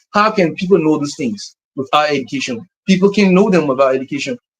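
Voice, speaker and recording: The man talks at a fairly quick pace in a high pitch. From Liberia. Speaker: musician and music educator. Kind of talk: interview.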